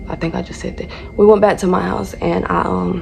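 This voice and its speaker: A woman with a Southern US accent, amid noticeable background noise. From North Carolina. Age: 20s. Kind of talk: casual storytime talk to camera.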